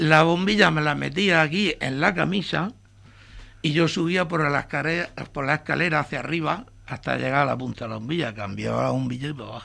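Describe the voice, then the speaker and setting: This man has a fairly high pitch and a bright, sharp tone with vocal fry, talking at a fairly quick pace with ordinary pitch variation. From Murcia, Spain (Torre Pacheco area). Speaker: retired electrician. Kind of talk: interview.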